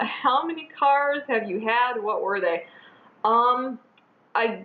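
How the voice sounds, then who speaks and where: Fairly high in pitch, a woman's voice, a plain, everyday voice, with ordinary pitch variation. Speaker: beauty vlogger. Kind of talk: casual chat.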